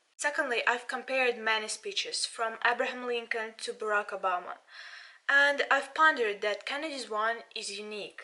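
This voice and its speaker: Bright and sharp in tone, a woman speaks at a moderate pace with a high pitch, ordinary pitch variation and a Russian accent. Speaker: politics student and channel owner. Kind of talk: video commentary. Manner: halting.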